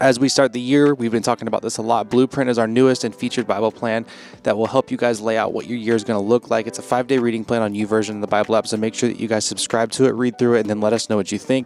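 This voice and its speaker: Over noticeable background noise, a man speaks at a very fast pace in a flat monotone at medium pitch, with hardly any pauses. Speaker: podcast producer reading outro announcements. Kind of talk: scripted outro announcements. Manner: quirky inflections.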